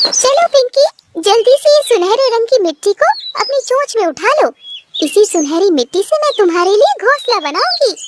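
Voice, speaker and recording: A woman does a cartoonish character voice, squeaky and at an extremely high pitch. She keeps a moderate pace. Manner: warm, gentle, motherly.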